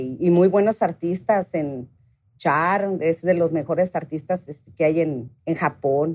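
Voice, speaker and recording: This woman talks at a very slow pace. Her pitch sits fairly low. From Mexicali, Mexico. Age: 40s. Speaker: guitar pickup maker. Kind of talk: interview. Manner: animated.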